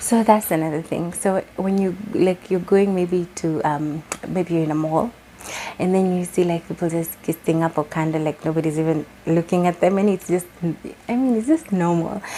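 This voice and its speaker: Amid noticeable background noise, a woman with a Kenyan accent talks at a fairly low pitch and a moderate pace with fairly even intonation. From Kenya, Nairobi. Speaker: vlogger. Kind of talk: casual vlog talk. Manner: code-switching English and Swahili.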